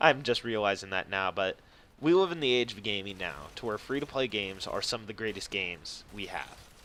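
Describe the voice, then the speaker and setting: Bright and sharp in tone, the voice moves at a fairly quick pace with lively intonation and big swings in loudness. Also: man, fairly low pitch for a man. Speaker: gaming youtuber. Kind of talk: gameplay commentary. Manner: halting, self-described stuttering.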